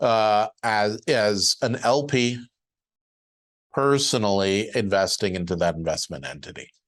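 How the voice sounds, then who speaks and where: He speaks fairly slowly, with ordinary pitch variation. This man has a normal speaking voice, pitched in the medium range. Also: quiet background. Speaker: syndication lawyer and webinar presenter. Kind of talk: webinar presentation. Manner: casual with many filler words.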